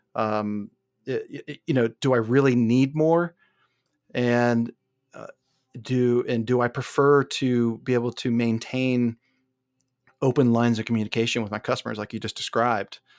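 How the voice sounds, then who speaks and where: The speaker moves at a moderate pace with long, frequent pauses and big swings in loudness. The recording is very clean with a silent background, and the sound is dry and close with no echo. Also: man, medium pitch for a man. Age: 40s. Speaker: podcast host and interviewer. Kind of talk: interview conversation with scripted intros. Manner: halting, repeats words.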